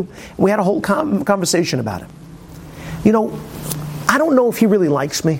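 Over noticeable background noise, a high-pitched man talks at a very fast pace with very wide pitch swings. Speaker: Torah teacher. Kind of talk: Torah class lecture. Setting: classroom with audience. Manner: informal, humorous, hesitant with fillers.

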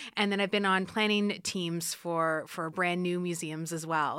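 In an Ontario accent, a woman speaks at a moderate pace with a fairly low pitch and a bright, sharp tone. The recording is very clean, with a silent background. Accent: Canadian English (Ontario). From Canada, Ottawa area. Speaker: art museum curator. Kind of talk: interview.

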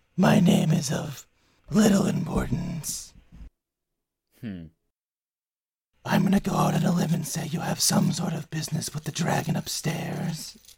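A man adopts a put-on character voice at a high pitch. He keeps a moderate pace with long, frequent pauses. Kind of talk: fantasy game character voice. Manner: smug, sly, sardonic.

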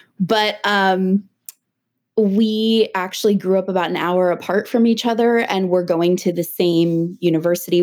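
An ordinary speaking voice from a woman at a medium pitch, with fairly even intonation and a moderate pace, in a very clean recording with a silent background. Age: 30s. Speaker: mental health counselor. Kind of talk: casual chat.

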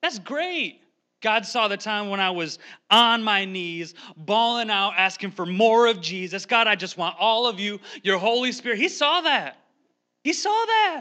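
Against a quiet background, a man speaks in a raised, projected voice at a high pitch with a bright, sharp tone. His delivery is animated, with lively intonation at a fairly slow pace. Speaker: lay preacher, pastor's son. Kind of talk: sermon. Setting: church. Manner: animated, sometimes yelling.

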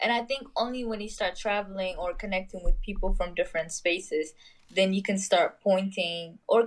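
A woman with an unremarkable speaking voice talks at a medium pitch and moderate pace, with ordinary pitch variation. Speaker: podcast guest. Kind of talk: casual chat. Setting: phone call.

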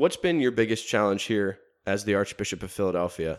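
A man's normal speaking voice, fairly low in pitch with ordinary pitch variation, at a fairly quick pace in a very clean recording with a silent background. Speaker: seminarian podcast host. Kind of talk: interview.

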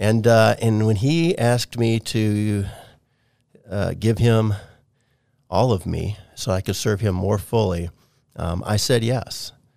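In a very clean recording with a silent background, a man with a fairly low pitch and ordinary pitch variation speaks at a very slow pace, leaving long, frequent pauses. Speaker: video producer in ministry. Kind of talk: casual interview.

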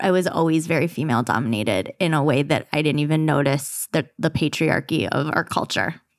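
A woman speaks at a fairly quick pace with a very deep, low pitch, ordinary pitch variation and hardly any pauses. Her loudness stays very even, and the recording is very clean with a silent background. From Michigan. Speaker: podcast co-host. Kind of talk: casual chat. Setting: studio.

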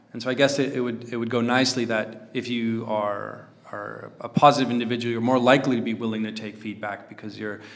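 A man's medium-pitched, flat, monotone voice at a very fast pace, with big swings in loudness and noticeable background noise. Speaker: podcast host, investor. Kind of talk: casual improvised podcast chat.

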